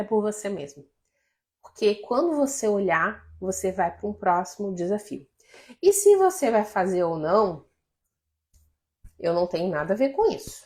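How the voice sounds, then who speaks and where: A woman speaks at medium pitch with lively intonation. She leaves long, frequent pauses. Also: fairly slow pace. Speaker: life coach. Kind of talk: live stream talk to viewers.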